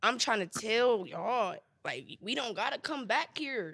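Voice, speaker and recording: The voice is bright and sharp, with vocal fry and very wide pitch swings. It moves at a very slow pace in a very clean recording with a silent background. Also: woman. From Chicago west side. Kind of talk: casual chat, comedy podcast.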